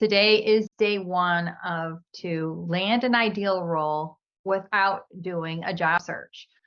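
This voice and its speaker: The speaker talks with a Chicago accent and fairly even intonation. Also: woman. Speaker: career coach. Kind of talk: live webinar presentation. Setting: video call.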